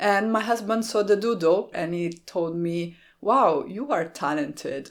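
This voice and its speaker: The speaker has an Italian accent and lively intonation. The pace is fairly slow. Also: woman. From Italy, small town near Rome. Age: 30s. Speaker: card-making YouTuber. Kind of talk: Q&A vlog.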